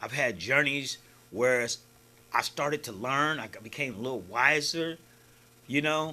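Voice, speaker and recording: A man speaks in an animated tone that is bright and sharp. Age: 60s. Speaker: filmmaker and writer. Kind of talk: interview.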